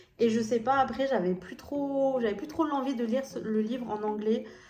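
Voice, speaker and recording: Audible room echo follows a woman's voice. She talks at a moderate pace. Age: 20s. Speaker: lifestyle YouTuber. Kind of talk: casual book review vlog. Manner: hesitant, many fillers.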